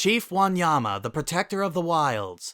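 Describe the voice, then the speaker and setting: A man puts on a character voice, pitched high and swinging very widely in pitch. He keeps a moderate pace in a very clean recording with a silent background. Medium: read story.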